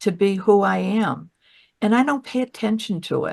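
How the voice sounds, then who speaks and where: A fairly high-pitched woman's voice at a very slow pace. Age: 80s+. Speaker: patient sharing health story, former actor. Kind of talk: interview testimony. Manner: halting.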